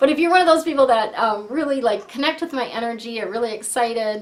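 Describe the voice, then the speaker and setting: Speaking at a fairly quick pace, a woman uses a high pitch and lively intonation. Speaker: feng shui coach and angel card reader. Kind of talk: tarot-style card reading to camera. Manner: hesitant, many fillers; softening voice.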